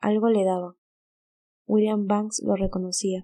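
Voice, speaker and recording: Her tone dark and mellow, a woman speaks fairly slowly with monotone, flat intonation. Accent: Latin American. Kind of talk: audiobook narration.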